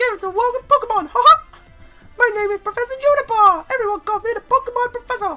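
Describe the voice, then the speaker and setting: Faint music plays in the background as a squeaky, extremely high put-on character voice rattles along at a very fast pace. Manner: cheerful.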